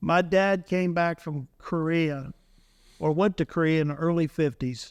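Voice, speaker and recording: A fairly high-pitched man's unremarkable speaking voice, fairly slow and fairly even in intonation, on a very clean recording with a silent background. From Ohio. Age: 60s. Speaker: trapper and commercial fisherman. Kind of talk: casual podcast interview.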